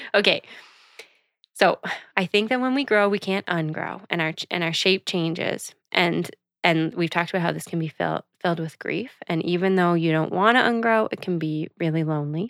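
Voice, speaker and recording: On a very clean, dry, close recording with no echo and a silent background, a woman with an unremarkable speaking voice, fairly low in pitch, speaks at a moderate pace with ordinary pitch variation. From Canada, Prince Edward Island (Charlottetown). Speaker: podcast co-host. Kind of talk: casual chat.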